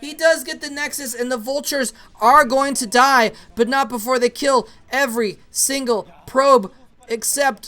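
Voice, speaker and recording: An extremely high-pitched man uses a raised, projected voice. His tone is bright and sharp. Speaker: esports commentator. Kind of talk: live game commentary. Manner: animated; stuttering when excited.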